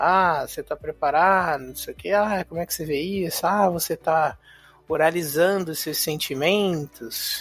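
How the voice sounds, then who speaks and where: A man's high-pitched voice at a fairly slow pace, fairly even in intonation but with big swings in loudness, on a very clean recording with a silent background. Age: 30s. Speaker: podcast host. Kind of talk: monologue podcast. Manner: casual.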